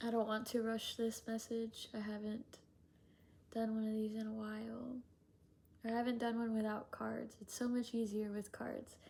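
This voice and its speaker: A woman's fairly high, somewhat breathy voice has a dark, mellow tone and a monotone, flat intonation. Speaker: spiritual channeler. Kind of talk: channeled spiritual message. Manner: slow; gentle, soothing.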